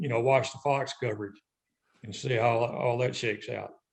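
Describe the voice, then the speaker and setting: A somewhat breathy man with a Southern US accent, moderate pace and ordinary pitch variation. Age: 60s. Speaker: retired fishing tournament director. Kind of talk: podcast interview.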